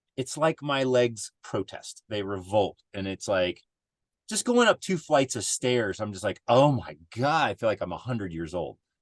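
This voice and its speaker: Against a quiet background, a man with an unremarkable speaking voice talks at a moderate pace and medium pitch, with lively intonation and a dry, close sound with no echo. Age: 50s. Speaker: adventure racer. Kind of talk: casual chat.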